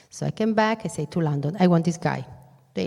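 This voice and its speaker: Woman with an Italian accent, a dark, mellow, somewhat breathy tone, on a very clean recording with a silent background. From northern Italy, Venice lagoon area. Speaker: business executive, keynote speaker. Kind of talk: keynote speech. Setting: stage with audience. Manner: animated.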